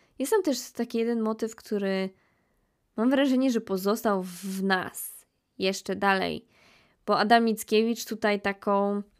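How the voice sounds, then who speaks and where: In a very clean recording with a silent background, a woman with an unremarkable speaking voice talks fairly slowly at a fairly high pitch, her intonation fairly even. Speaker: podcast host. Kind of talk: casual monologue.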